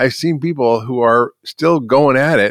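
A man speaks with ordinary pitch variation. The sound is dry and close with no echo, against a quiet background. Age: 60s. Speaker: physician and author. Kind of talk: interview.

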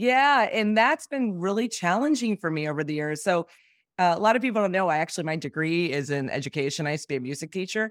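Talking at a very fast pace, a woman uses a fairly low pitch with very wide pitch swings. The sound is dry and close, with no echo. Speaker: ad tech executive. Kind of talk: interview.

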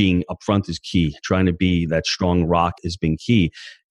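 Against a quiet background, a man with an American accent speaks in a very deep, low pitch, the sound dry and close with no echo. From New York. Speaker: real estate investor and coach. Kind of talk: interview.

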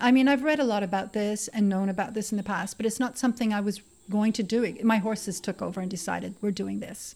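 Somewhat breathy, a woman speaks at a very fast pace with fairly even intonation. The recording is very clean, with a silent background. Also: medium pitch for a woman, hardly any pauses. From Canada. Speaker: horse yoga and wellness center owner. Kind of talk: interview.

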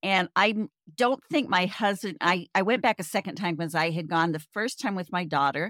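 An unremarkable speaking voice, a woman's fairly low pitch moves quickly with lively intonation, in a dry, close sound with no echo. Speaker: podcast host, travel hacker. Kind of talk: casual chat.

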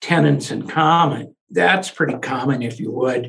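A man talks fairly slowly with vocal fry. His voice sits fairly high and varies in pitch in an ordinary way. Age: 70s. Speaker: lawyer. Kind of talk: interview.

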